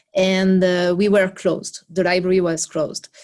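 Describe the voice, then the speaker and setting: A woman with a French accent, medium in pitch, against a quiet background. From France. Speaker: library project worker. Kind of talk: video call presentation. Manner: halting, many fillers.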